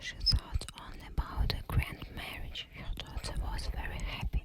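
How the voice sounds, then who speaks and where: Someone whispers at a very slow pace. Noticeable background noise runs underneath. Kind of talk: ASMR fairytale reading for sleep. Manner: whispered.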